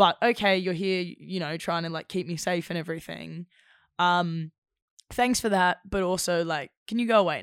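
On a very clean recording with a silent background, a woman with an Australian accent and fairly low pitch shows ordinary pitch variation and big swings in loudness. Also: moderate pace, dry, close sound with no echo. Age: 20s. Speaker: actor. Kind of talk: casual chat.

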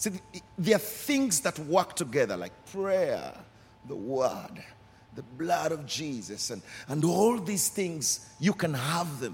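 A man speaks in a high voice. His pitch swings very widely. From Uganda. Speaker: pastor. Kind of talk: sermon. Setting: church service. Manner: passionate.

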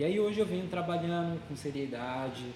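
Moderate-paced speech with ordinary pitch variation carries audible room echo, with music in the background. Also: man. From Brazil. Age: 20s. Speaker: tattoo artist. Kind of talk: casual interview chat.

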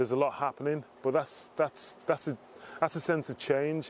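A man talks at a fairly high pitch with monotone, flat intonation. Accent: Liverpool. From Liverpool, England. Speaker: former footballer, diversity executive. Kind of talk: interview.

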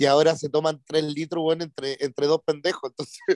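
Recorded very cleanly against a silent background, a man's fairly high voice has a dry, close sound with no echo. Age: 30s. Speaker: radio DJ. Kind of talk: casual chat.

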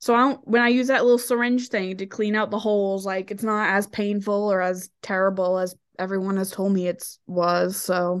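Against a quiet background, a woman with a plain, everyday voice speaks at a moderate pace and medium pitch, keeping her intonation fairly even. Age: 20s. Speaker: podcast co-host, adult content creator. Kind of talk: casual chat.

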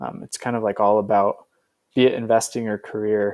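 Here a man uses an ordinary speaking voice at medium pitch, with fairly even intonation and a moderate pace. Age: 20s. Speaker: venture capitalist. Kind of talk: interview. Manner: casual, many filler words.

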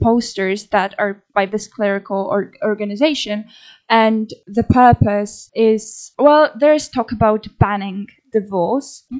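A woman with a Polish accent and a fairly high voice, speaking very slowly. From Poland. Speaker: podcast co-host. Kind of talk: casual chat.

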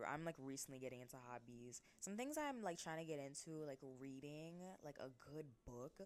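A woman with a very deep, low pitch talks at a moderate pace with lively intonation. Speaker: podcast host. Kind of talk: solo monologue podcast. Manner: eloquent.

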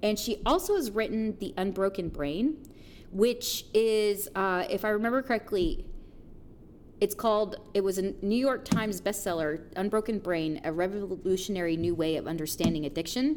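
In a normal speaking voice, a woman talks at a moderate pace and medium pitch with lively intonation, on a very clean recording with a silent background. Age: 30s. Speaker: podcast co-host, counseling student. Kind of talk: casual chat.

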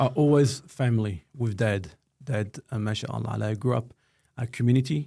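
With a dark, mellow, somewhat breathy tone, a man talks at medium pitch with ordinary pitch variation. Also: moderate pace. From Australia, Melbourne (Footscray/Altona). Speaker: construction company director. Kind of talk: casual interview chat.

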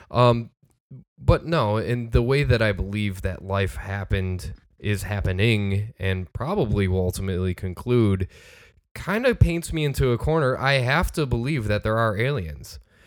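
With lively intonation and a fairly low pitch, a man has an ordinary speaking voice, talking at a moderate pace on a very clean recording with a silent background. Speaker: podcast co-host. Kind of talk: casual chat.

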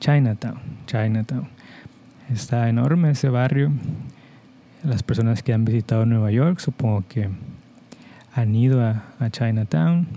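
This man's dark, mellow voice sits at a medium pitch with ordinary pitch variation, moving at a fairly slow pace with long, frequent pauses and very even loudness. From Mexico. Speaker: podcast host, Spanish teacher. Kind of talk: slow educational monologue for Spanish learners. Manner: clear, deliberate pace for learners.

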